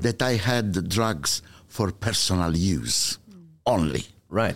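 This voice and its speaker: A man with an Italian accent on a very clean recording with a silent background. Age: 60s. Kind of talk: testimony.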